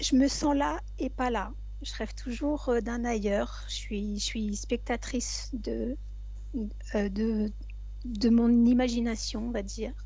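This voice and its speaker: Speaking at a very slow pace with long, frequent pauses, a woman is heard in audible room echo. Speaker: hypnosis session client. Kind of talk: personal testimony. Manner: halting.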